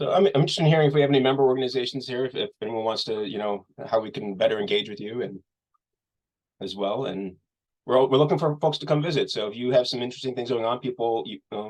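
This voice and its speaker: The man talks at a very fast pace. His pitch is medium, with ordinary variation. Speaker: nonprofit executive director. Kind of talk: webinar Q&A.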